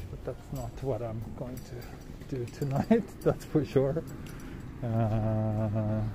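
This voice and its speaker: With a dark, mellow tone and a somewhat breathy quality, a man speaks very slowly, pausing long and often, with ordinary pitch variation, big swings in loudness, and noticeable background noise. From Western country, not Japan. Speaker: travel livestreamer. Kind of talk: live walking stream with chat. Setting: outdoors on city streets. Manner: casual, hesitant with fillers. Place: street. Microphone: phone near.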